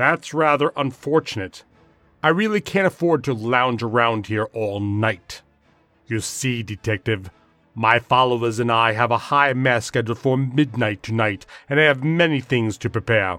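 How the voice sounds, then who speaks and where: A man uses a put-on character voice with an angry tone, medium pitch and ordinary pitch variation, at a moderate pace. Faint music plays in the background. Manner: speaking through gritted teeth; angry, condescending.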